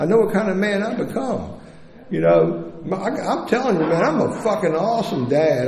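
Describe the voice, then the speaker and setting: A man keeps a moderate pace as audible room echo and noticeable background noise fill the recording. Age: 60s. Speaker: recovering addict sharing story at recovery meeting. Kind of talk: testimony. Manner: animated.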